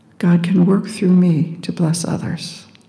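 There is noticeable background noise as a woman with a medium pitch speaks at a very slow pace in a calm tone. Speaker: meditation guide. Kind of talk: guided meditation. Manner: slow, calm.

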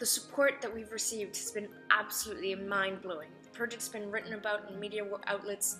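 A woman talks at a fairly quick pace with fairly even intonation. Clear music plays in the background. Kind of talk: advocacy vlog address. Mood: earnest, passionate. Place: home room.

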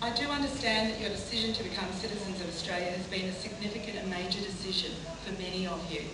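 Speech at a very fast pace comes through with noticeable background noise and audible room echo. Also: woman. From Australia. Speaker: politician. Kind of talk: ceremonial speech. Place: hall.

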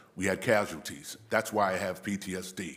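A man talks in a room with audible echo. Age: 60s. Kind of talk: public comment speech. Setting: city council meeting podium.

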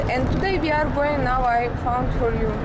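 With music in the background, a woman talks at a moderate pace and ordinary pitch variation. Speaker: passenger vlogger. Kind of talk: casual vlog chat. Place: car. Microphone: phone near.

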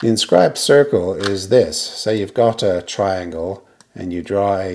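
This is an unremarkable speaking voice at a moderate pace with ordinary pitch variation. Light background noise can be heard. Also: man. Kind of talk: tutorial. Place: garage.

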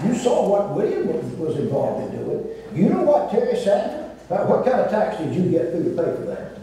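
Fairly quick speech in strong room echo. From US South. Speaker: former state governor. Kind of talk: panel discussion. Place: stage.

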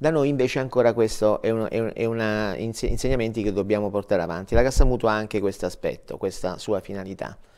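Over a quiet background, a man talks at a fairly quick pace with hardly any pauses, a fairly low pitch and ordinary pitch variation. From southern Italy, Matera (Basilicata); Basilicata, Italy. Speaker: director of a dental mutual fund; guest. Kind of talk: TV interview. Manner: halting, repeats words. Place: studio. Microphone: lapel.

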